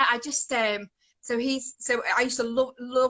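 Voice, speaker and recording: A woman's high, bright, sharp voice with monotone, flat intonation. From English Midlands, Coventry area. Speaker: worship singer. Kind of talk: testimony. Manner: rambling, hesitant.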